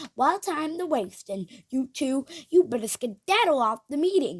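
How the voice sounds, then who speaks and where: A high, put-on character voice from a woman, moderately paced, with very wide swings in pitch. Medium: read story. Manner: jolly, forceful.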